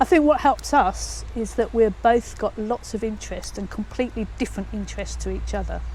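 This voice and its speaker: A woman at a fairly quick pace with hardly any pauses, against noticeable background noise. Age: 60s. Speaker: retired head teacher. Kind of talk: interview answer.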